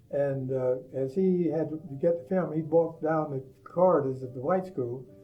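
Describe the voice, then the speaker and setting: Speech at a moderate pace with fairly even intonation comes through noticeable background noise and audible room echo. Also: man, fairly high pitch for a man. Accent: American. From US South, West Palm Beach, Florida. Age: 80s+. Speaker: storyteller recounting life memories. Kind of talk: personal reminiscence monologue. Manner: hesitant, with frequent fillers.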